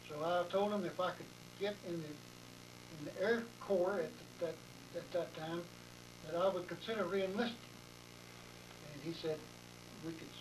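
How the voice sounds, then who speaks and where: In an American accent, a man talks at a moderate pace. Audible room echo and noticeable background noise surround him. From Texas, Anderson County. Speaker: war veteran. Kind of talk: oral history interview. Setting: interviewer's home.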